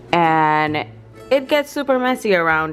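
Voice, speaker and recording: Over music in the background, a woman with a very deep, low pitch speaks very slowly, her pitch swinging very widely. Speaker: beauty vlogger. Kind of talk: casual makeup vlog.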